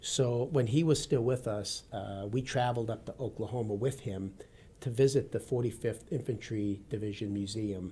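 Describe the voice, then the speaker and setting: A man with an American accent speaks at a medium pitch and moderate pace, his tone dark, mellow and somewhat breathy. The recording is very clean, with a silent background. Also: ordinary pitch variation. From US Midwest, Wisconsin. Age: 50s. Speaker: retired army colonel and law enforcement veteran. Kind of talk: radio interview.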